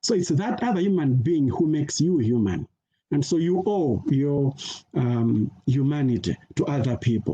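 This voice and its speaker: A man with a dark, mellow tone, somewhat breathy and fairly high-pitched. His intonation is lively and his loudness stays very even. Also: moderate pace. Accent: Malawian. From Malawi. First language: Chichewa. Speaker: peace education scholar. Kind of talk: conference talk. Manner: halting, many fillers.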